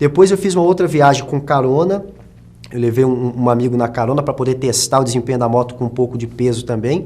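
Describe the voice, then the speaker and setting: A man speaks very fast in a dark, mellow tone. His pitch varies an ordinary amount. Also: medium pitch for a man. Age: 20s. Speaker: journalist and actor. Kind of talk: documentary interview. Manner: halting.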